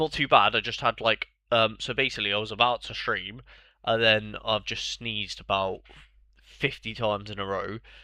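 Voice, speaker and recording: Against a quiet background, a man with a British accent speaks at a moderate pace in a bright, sharp tone. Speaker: fantasy football streamer. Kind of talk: live stream commentary, casual chat. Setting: live stream. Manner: casual, hesitant with fillers.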